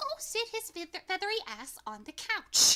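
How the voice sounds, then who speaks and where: Doing a squeaky put-on character voice, a woman speaks at an extremely high pitch and moderate pace with very wide pitch swings. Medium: actual play. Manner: curt, commanding, exasperated.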